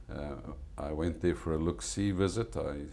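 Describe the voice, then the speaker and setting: A man with a South African accent speaks at a fairly slow pace. His voice is very deep and low, with a dark, mellow tone. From South Africa, Eastern Cape (East London). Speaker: restaurant owner. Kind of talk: TV interview.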